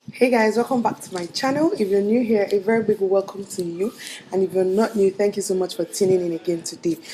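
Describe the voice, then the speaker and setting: Over noticeable background noise, a woman talks at a very fast pace in a medium pitch, with ordinary pitch variation. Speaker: beauty YouTuber. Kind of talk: makeup tutorial. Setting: indoors away from home.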